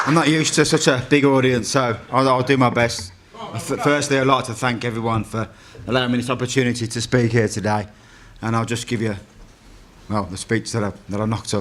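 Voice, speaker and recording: With a Brummie accent, a man talks at a fairly quick pace in a medium pitch and fairly even intonation. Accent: Birmingham (Brummie). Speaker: trade union convener. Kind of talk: speech. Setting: stage with audience.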